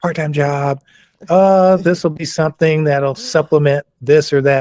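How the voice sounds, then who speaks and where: With an American accent, a man speaks in a fairly high pitch and a dark, mellow tone at a moderate pace, with ordinary pitch variation and a dry, close sound free of echo. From US South. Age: 70s. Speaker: massage therapist and athletic trainer. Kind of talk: podcast interview.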